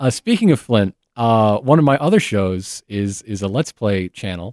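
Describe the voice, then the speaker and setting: At a moderate pace, a man with an American accent speaks in a fairly low pitch with ordinary pitch variation, an unremarkable speaking voice that sounds dry and close with no echo. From Michigan, US Midwest. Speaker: podcast host and history enthusiast. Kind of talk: casual chat.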